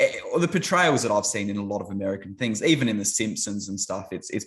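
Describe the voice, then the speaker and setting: A man at a very fast pace against a quiet background. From Australia. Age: 30s. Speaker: YouTuber, ministry channel. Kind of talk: casual chat.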